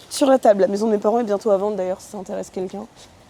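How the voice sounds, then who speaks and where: A woman talks over noticeable background noise. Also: dry, close sound with no echo. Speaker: vlogger. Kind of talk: casual vlog talk. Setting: outdoors in a garden.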